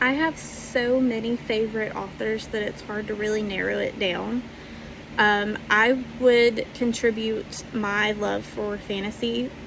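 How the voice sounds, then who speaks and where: Amid noticeable background noise, a woman with a Southern US accent talks at a fairly slow pace. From US South, Alabama. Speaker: fantasy author. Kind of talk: interview answers. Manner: hesitant, many fillers.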